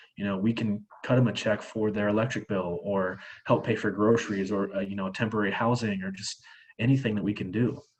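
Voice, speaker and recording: A man with a Midwestern US accent talks at a fairly quick pace in a fairly low pitch. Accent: US Midwest. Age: 20s. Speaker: charity fundraiser. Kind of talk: presentation with Q&A. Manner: fast; animated.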